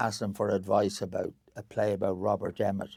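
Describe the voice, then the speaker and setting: A man with a Dublin accent speaks at a fairly quick pace in a fairly low voice. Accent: Irish (Dublin). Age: 80s+. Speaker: actor and theatre director. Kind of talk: casual interview chat. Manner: halting, repetitive.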